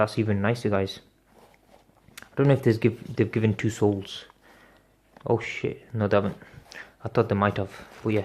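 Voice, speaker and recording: A man speaks at a fairly quick pace, somewhat breathy. His intonation is monotone and flat. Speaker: sneaker unboxing youtuber. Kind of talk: product unboxing review. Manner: casual, hesitant with fillers.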